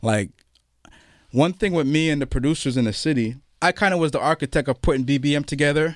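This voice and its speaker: Speaking at a very fast pace with a Toronto accent and ordinary pitch variation, the voice comes through in a very clean recording with a silent background and a dry, close sound with no echo. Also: man. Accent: Toronto Canadian English. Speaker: hip-hop event founder and author. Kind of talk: interview.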